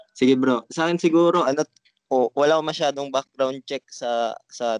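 A man at a fairly slow pace, with a dry, close sound and no echo. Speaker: crypto trader, channel creator. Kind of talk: casual group discussion. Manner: halting.

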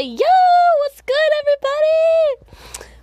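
An extremely high, squeaky put-on character voice. It moves at a fairly slow pace. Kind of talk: slangy. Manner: casual, laid-back.

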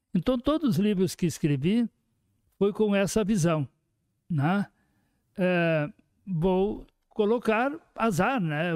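At a very slow pace with long, frequent pauses, a man speaks in a high pitch with lively intonation and very even loudness, in a dry, close sound with no echo. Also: very clean recording, silent background. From Rio Grande do Sul, Brazil (Horizontina). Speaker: sociologist and writer. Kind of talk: casual interview.

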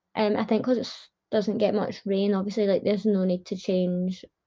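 A woman's medium-pitched, dark, mellow voice, somewhat breathy, in a Glasgow accent. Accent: Scottish (Glasgow). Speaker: podcast host. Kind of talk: casual monologue.

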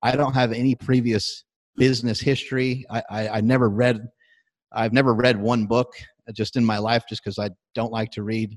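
A man's medium-pitched, normal speaking voice at a fairly quick pace, fairly even in intonation, with a dry, close sound and no echo. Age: 40s. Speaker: strength athlete and fitness entrepreneur. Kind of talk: casual interview.

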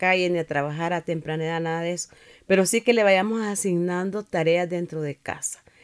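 A woman talks fairly quickly in a normal speaking voice at medium pitch. The sound is dry and close, with no echo. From Nicaragua. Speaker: pastor and church district superintendent. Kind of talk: interview testimony.

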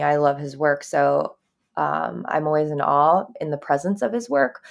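A woman speaks in a very deep, low pitch, recorded very cleanly against a silent background. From Japan. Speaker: documentary director. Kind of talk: interview.

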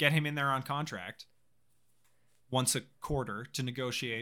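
Recorded very cleanly against a silent background, a man with a bright, sharp tone speaks at a fairly high pitch and a moderate pace. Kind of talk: casual banter, comedic chat. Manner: joking, sarcastic.

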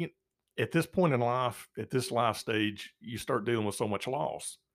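On a very clean recording with a silent background, a man with an unremarkable speaking voice and medium pitch talks at a moderate pace with lively intonation. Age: 50s. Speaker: church elder sharing recovery from addiction. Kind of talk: testimony interview.

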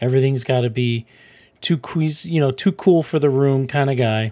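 Background is silent in this very clean recording. Pitch moves in an ordinary way. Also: man. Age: 30s. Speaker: podcast host. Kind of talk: casual solo commentary. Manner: animated.

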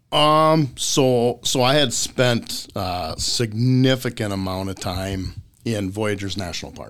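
A man's medium-pitched voice with an Upper Midwest accent, ordinary pitch variation, a very slow pace and big swings in loudness. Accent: Upper Midwest (Minnesota). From central Minnesota. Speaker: fishing guide. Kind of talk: casual chat.

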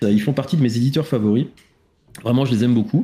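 His voice has a dark, mellow tone, and it belongs to a man. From France, Île-de-France (Essonne). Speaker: podcast host. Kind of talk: casual chat. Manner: halting.

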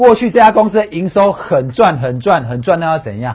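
This man's high voice rises and falls in very wide pitch swings. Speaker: stock analyst. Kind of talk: casual chat. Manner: animated.

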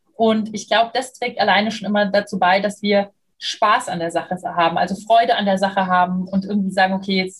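A woman speaks at a fairly quick pace and medium pitch, somewhat breathy, with fairly even intonation. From Germany, Munich (Bavaria). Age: 30s. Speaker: communication and leadership trainer. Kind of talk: interview.

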